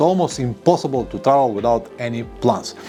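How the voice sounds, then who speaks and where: Over music in the background, a man is speaking. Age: 50s. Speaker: motorcycle traveler. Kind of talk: casual talk to camera.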